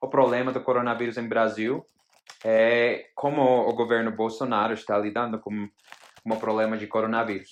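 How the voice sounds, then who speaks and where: A man speaks at a medium pitch with a non-native accent. His intonation is monotone and flat. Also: moderate pace. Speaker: interviewer. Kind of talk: interview. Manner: halting.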